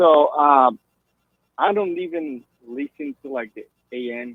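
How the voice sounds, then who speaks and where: A man speaks with a Brazilian Portuguese accent. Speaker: caller. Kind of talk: call-in radio conversation.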